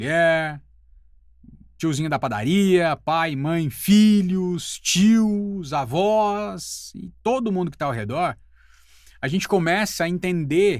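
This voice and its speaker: A man's high-pitched voice, very slow in pace, with lively intonation. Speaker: voice-over artist and teacher. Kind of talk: casual talk to camera.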